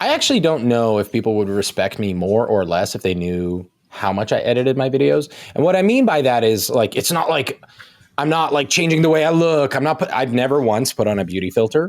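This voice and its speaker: A man with a slight Canadian accent speaks at a medium pitch and a fairly quick pace, his tone animated. His pitch swings very widely while his loudness stays very even. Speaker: nutrition coach. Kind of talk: casual chat. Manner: fast.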